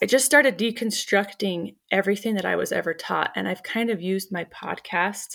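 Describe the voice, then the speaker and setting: Speech comes at a medium speed with an American accent. The audio is spotless, and nothing can be heard behind the voice. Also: woman. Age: 30s. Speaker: podcast host and life coach. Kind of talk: casual interview conversation.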